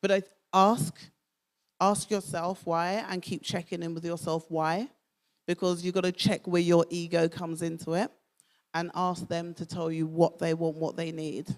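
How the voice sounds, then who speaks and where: With fairly low pitch and monotone, flat intonation, a woman speaks at a moderate pace on a very clean recording with a silent background. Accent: Southeast London. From Southeast London. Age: 50s. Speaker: speaker. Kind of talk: talk Q&A.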